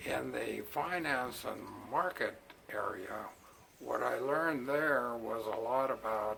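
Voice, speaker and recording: Noticeable background noise sits behind a man talking at medium pitch. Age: 70s. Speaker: retired engineer and retirement vlogger. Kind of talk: casual vlog monologue. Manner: halting, many fillers.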